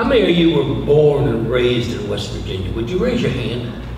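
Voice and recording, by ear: A man at medium pitch speaks at a moderate pace with big pitch swings, with audible room echo and clear background noise.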